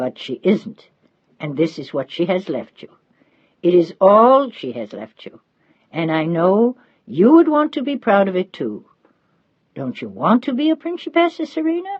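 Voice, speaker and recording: A gruff, put-on character voice at a middle pitch swings very widely up and down. The pace is moderate, broken by long, frequent pauses. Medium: read story. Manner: gruff, fussing.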